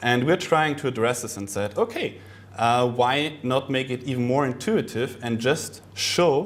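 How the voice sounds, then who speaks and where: With audible room echo, a man speaks at medium pitch and a fairly slow pace, using ordinary pitch variation. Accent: non-native. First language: not English. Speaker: conference speaker on search marketing. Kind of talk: presentation. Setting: conference talk with audience. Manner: hesitant, many fillers.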